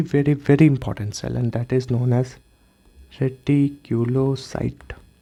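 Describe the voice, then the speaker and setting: The man's voice has a dark, mellow tone and a medium pitch. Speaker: medical lecturer. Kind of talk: lecture. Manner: slow.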